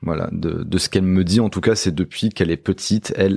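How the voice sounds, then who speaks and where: On a very clean recording with a silent background, a man with a very deep, low pitch and a dark, mellow tone keeps his intonation fairly even. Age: 30s. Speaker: musician. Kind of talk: casual chat. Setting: at the host's home.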